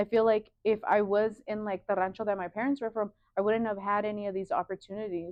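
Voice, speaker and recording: The pace is fairly quick. The speaker has a Spanish accent. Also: woman. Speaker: sewing studio owner and designer. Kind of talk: casual interview chat. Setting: sewing studio.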